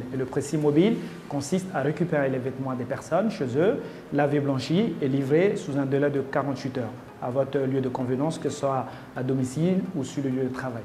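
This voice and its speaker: Moving at a fairly quick pace, a man talks through noticeable background noise and audible room echo. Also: fairly high pitch for a man, ordinary pitch variation. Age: 30s. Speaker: entrepreneur, competition candidate. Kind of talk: interview testimony. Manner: halting, many hesitations.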